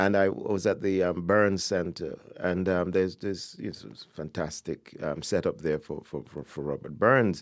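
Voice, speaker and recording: On a very clean recording with a silent background, a man with a very deep, low voice and vocal fry talks at a moderate pace with hardly any pauses, ordinary pitch variation and big swings in loudness. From Jamaica (born in Ghana). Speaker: poet and professor. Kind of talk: interview conversation. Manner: halting, many repetitions.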